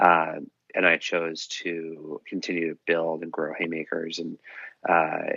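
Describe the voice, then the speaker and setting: Speaking with an American accent, a man delivers his words in a very deep, low pitch with monotone, flat intonation. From Massachusetts, US (Dover, near Boston). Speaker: nonprofit co-founder. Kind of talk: podcast interview.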